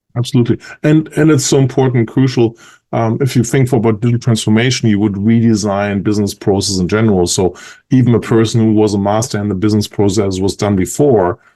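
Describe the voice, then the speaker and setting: A man with a German accent talks at a very fast pace, his dark, mellow tone sitting at a fairly low pitch with ordinary pitch variation. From Germany. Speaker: industry analyst. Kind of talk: podcast interview.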